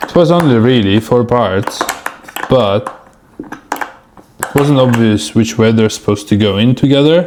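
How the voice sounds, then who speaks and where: Ordinary pitch variation, long and frequent pauses, very even loudness and a moderate pace, with a non-native accent and noticeable background noise. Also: man, medium pitch for a man. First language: not English. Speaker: DIY video maker. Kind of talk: casual vlog narration while working. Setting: indoors, door open behind.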